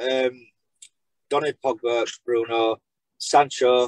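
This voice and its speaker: A man talks with a medium pitch. The sound is dry with no echo, against a quiet background. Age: 30s. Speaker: football fan content creator. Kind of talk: casual chat. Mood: relaxed, opinionated. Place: home room. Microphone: video call.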